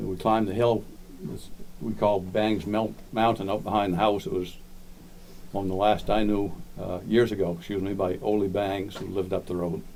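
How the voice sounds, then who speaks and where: A man speaks with a Maine accent at a moderate pace and fairly low pitch. His intonation is monotone and flat, with audible room echo. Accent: Downeast Maine. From Maine (Lubec), moved from Florida as small child. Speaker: local historian speaker. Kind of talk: community talk, reminiscence. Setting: library talk with audience.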